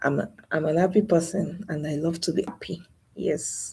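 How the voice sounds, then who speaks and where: Soft-spoken and somewhat breathy, a woman talks in a dark, mellow tone at a fairly low pitch with ordinary pitch variation. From Nigeria. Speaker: YouTuber. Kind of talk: live stream monologue.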